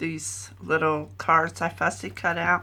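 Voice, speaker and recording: Speaking at a very slow pace, a woman uses a very deep, low pitch with vocal fry and a bright, sharp tone. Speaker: scrapbooker. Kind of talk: craft layout share.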